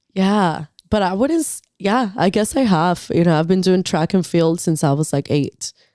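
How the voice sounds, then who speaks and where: A woman with a Spanish accent, medium in pitch, dark and mellow in tone, with ordinary pitch variation and very even loudness, on a very clean recording with a silent background and a dry, close sound with no echo. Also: moderate pace. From northern Mexico (Acuña, Coahuila). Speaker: muralist and painter. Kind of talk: casual chat.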